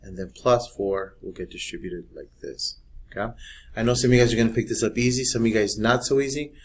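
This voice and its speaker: A man talks at a very fast pace with fairly even intonation, somewhat breathy delivery, and big swings in loudness. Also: medium pitch for a man. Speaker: math teacher. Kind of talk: tutorial.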